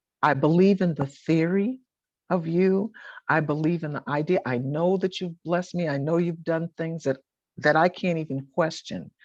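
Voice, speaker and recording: A woman with an American accent has a plain, everyday voice, fairly low in pitch with ordinary pitch variation. She talks at a moderate pace over a quiet background. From Boston, US Northeast. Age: 60s. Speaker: author and gospel singer. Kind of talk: interview.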